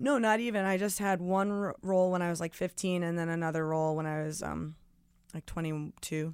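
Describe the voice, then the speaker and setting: A woman with an American accent speaks at a fairly quick pace in an ordinary speaking voice, her fairly low pitch showing ordinary variation, on a very clean recording with a silent background. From New Jersey, near New York City. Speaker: singer-songwriter and former actor. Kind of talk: casual interview chat.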